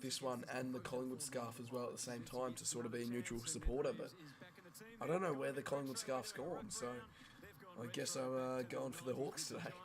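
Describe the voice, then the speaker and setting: A man with an Australian accent, medium in pitch, at a fairly quick pace. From Western Australia. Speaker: sports streamer. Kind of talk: live sports reaction stream. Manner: casual.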